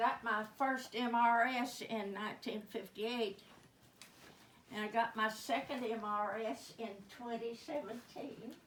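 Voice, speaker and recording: With noticeable background noise, a woman with an American accent speaks fairly slowly at a fairly high pitch, with fairly even intonation and long, frequent pauses. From Oklahoma. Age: 80s+. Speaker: comedian. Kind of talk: stand-up.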